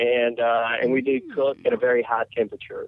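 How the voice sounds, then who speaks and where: A man with a Southern US accent, medium pitch, and a moderate pace. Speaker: fried chicken restaurant owner. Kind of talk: interview.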